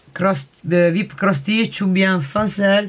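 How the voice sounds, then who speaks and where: Noticeable background noise under a woman talking in a medium pitch, her pitch variation ordinary. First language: not French (speaking French). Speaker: crafting vlogger. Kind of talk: casual show-and-tell vlog. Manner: halting, many hesitations.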